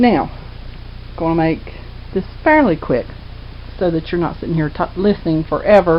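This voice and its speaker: Over noticeable background noise, a woman speaks loudly at a moderate pace. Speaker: cross stitch video blogger. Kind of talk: casual chat. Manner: talkative. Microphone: quiet volume.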